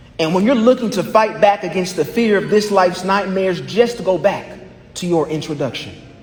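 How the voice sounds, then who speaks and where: This man's voice sits high in pitch and moves with lively intonation. The recording carries audible room echo and noticeable background noise. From US Midwest, Indianapolis east side. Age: 20s. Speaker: law graduate and business lecturer. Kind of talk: graduation speech. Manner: rhythmic oratorical delivery.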